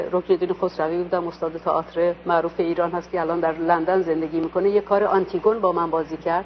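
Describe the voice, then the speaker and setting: A woman races along at a very fast pace as noticeable background noise continues. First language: Azerbaijani (speaking Persian). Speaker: stage actress. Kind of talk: interview. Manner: hesitant, many fillers.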